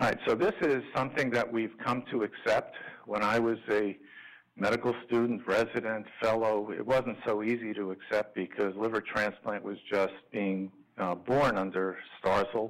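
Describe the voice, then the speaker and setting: A man with an American accent and a plain, everyday voice, fairly low in pitch, his intonation fairly even, against a quiet background. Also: moderate pace. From New York. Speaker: liver transplant physician; physician lecturer. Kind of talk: lecture. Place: hall.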